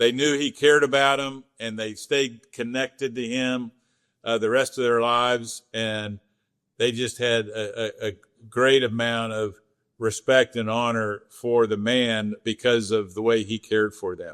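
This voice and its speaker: Here a man with an American accent speaks at medium pitch. His delivery is fairly slow and monotone, with flat intonation. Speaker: energy company CEO. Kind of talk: interview conversation. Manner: frequent stammering repetitions.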